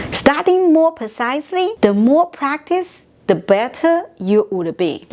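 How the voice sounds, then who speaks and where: Speech in a Chinese accent moves at a very slow pace with very wide pitch swings, with noticeable background noise behind it. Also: woman. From China. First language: Mandarin Chinese. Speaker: language teacher. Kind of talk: tutorial.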